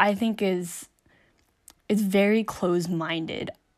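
On a very clean recording with a silent background, a woman with an American accent speaks at a medium pitch. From rural US small town. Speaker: podcast host. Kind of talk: personal monologue. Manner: halting.

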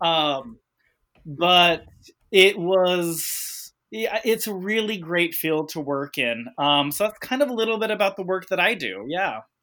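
A loud, high-pitched man with a bright, sharp tone and lively intonation speaks at a fairly slow pace on a very clean recording with a silent background. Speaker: clinical social worker. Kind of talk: podcast interview. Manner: loud, energetic.

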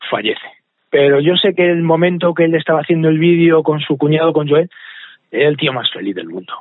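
Fairly high in pitch, a man's voice moves at a fairly quick pace. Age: 40s. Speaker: charity event organizer. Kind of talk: interview.

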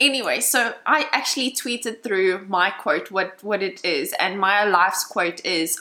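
Noticeable background noise sits under this recording. A woman talks at medium pitch and a moderate pace. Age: 20s. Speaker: podcast host. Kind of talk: casual chat.

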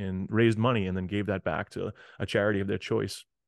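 A man with an American accent has an unremarkable speaking voice. His pitch is fairly low and his pace fairly quick. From Massachusetts, north of Boston. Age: 40s. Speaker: motivational speaker and educator. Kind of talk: interview storytelling.

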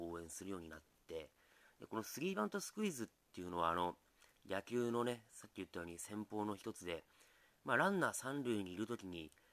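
A man is speaking. His pitch sits fairly low. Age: 40s. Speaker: comedian and musician. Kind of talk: solo podcast monologue. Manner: relaxed, hesitant with fillers.

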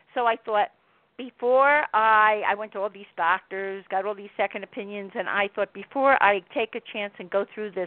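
In an unremarkable speaking voice, a woman with an American accent talks at a moderate pace and medium pitch with ordinary pitch variation. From Miami, Florida. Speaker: author. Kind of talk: interview about her book.

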